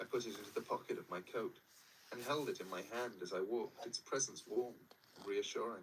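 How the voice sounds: This is a natural reading voice. Nothing else is marked.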